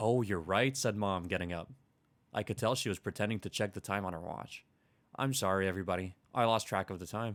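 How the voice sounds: The clip features a natural reading voice.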